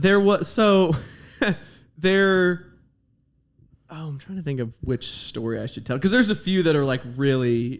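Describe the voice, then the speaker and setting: A man with a fairly high pitch talks at a fairly slow pace, leaving long, frequent pauses. His intonation is lively. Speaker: comedian. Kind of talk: casual chat.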